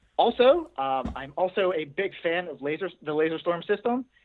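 This man's voice is high in pitch. His intonation is lively. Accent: American. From Pittsburgh, Pennsylvania. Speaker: doctoral student. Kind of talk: research interview.

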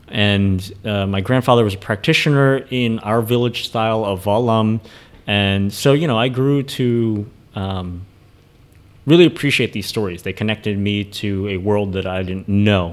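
In a normal speaking voice, a man talks with an American accent at a moderate pace. His pitch is fairly low, with ordinary variation. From US, Philadelphia area, Vietnamese family. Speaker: kung fu teacher. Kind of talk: casual chat.

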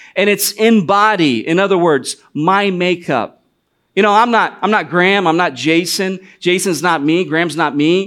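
In an American accent, a man speaks at a high pitch and moderate pace, with ordinary pitch variation and very even loudness. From US Midwest, northwest Ohio. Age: 40s. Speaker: missionary. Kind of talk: sermon. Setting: church.

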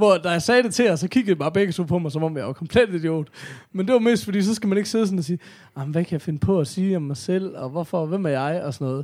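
The voice moves at a very fast pace with lively intonation. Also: man, high pitch for a man. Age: 30s. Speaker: podcast co-host. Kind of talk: casual chat.

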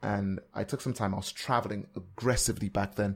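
A man talks at a very fast pace with an American accent. His voice is somewhat breathy. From Nigeria. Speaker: podcaster and former radio presenter. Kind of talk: casual interview.

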